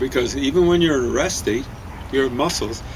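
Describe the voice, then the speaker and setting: A man's voice carries audible room echo. Noticeable background noise is present too. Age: 70s. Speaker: co-host of a diet video show. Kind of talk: casual chat. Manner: halting, many fillers.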